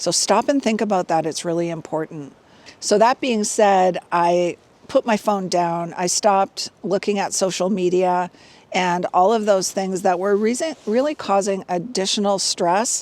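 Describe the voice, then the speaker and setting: A woman at a fairly slow pace, medium pitch and ordinary pitch variation, an ordinary speaking voice. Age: 60s. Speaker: fitness and wellness vlogger. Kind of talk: casual vlog monologue. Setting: outdoors hiking. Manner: conversational with fillers.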